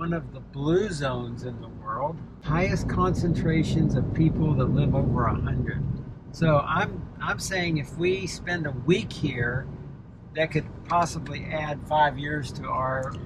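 Loud background noise surrounds a man speaking at a fairly slow pace, with a dry sound and no echo. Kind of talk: casual vlog chat. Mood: light, joking. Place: car. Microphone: phone near.

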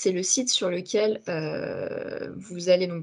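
A woman talks with fairly even intonation. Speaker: communications and recruitment officer; webinar presenter. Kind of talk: webinar hosting. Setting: video call. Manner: hesitant, many fillers. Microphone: video call.

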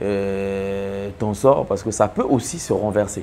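Over light background noise, a man speaks at a fairly low pitch in a dark, mellow tone with fairly even intonation. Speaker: TV commentator, host. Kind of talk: commentary. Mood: grave, sympathetic. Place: studio. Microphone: lapel.

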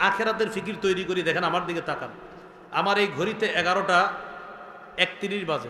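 High pitch for a man, a raised, projected voice with fairly even intonation, and noticeable background noise behind him. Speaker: Islamic scholar, waz preacher. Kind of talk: Islamic sermon (waz) delivered to an audience. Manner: conversational, rhetorical questions, earnest.

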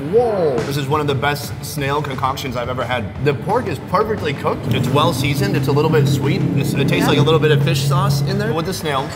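A man talks very fast, with hardly any pauses. Music plays in the background. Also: ordinary pitch variation. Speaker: food vlogger host. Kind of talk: casual food tasting commentary. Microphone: lapel.

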